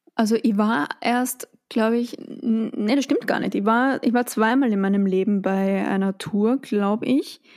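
A woman with an Austrian accent speaks at a fairly slow pace in a fairly high voice. Her pitch varies in an ordinary way, and her loudness stays very even. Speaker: podcast host. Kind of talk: casual chat. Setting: home studio in a pillow fort.

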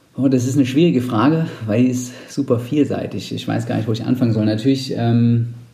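Moderate-paced talk from a man with a fairly low pitch, ordinary pitch variation and audible room echo. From Saxony-Anhalt, eastern Germany. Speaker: amateur cyclist and team founder. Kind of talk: casual interview. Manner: hesitant with fillers.

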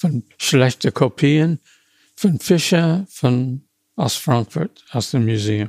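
A man with an American accent speaks with lively intonation at a medium pitch. The sound is dry and close, with no echo. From US, small town. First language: English (speaking German). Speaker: retired car designer. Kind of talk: interview. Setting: historic building among cars at carmaker's factory. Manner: halting.

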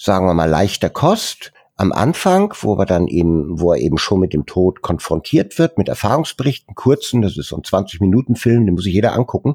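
Heard dry and close with no echo, a man talks at a fairly low pitch in a dark, mellow tone with lively intonation. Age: 60s. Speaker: founder of a volunteer photography charity. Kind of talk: interview. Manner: hesitant, many fillers.

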